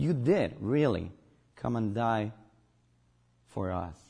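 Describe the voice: A man speaks slowly in a fairly low pitch, his tone dark and mellow with a slightly husky edge. His intonation is lively, and vocal fry runs through his voice.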